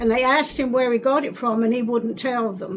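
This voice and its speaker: A woman with a fairly high pitch and an American accent speaks over noticeable background noise. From England, North London. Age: 80s+. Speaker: WWII childhood witness. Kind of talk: oral history interview. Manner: halting.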